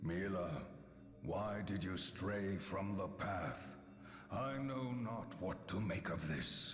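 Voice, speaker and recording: A man uses a put-on character voice at a fairly low pitch and a very slow pace. Clear background noise and a clear echo are present. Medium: video game. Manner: archaic, grave.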